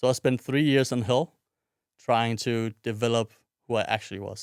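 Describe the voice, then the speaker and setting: Speaking with a Danish accent, a man holds a medium pitch and a monotone, flat intonation at a moderate pace, his voice dry and close with no echo on a very clean recording with a silent background. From Denmark, Odense. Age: 20s. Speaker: podcast host. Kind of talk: personal monologue.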